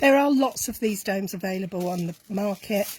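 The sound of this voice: A woman talks at a medium pitch. Her pace is moderate, with ordinary pitch variation.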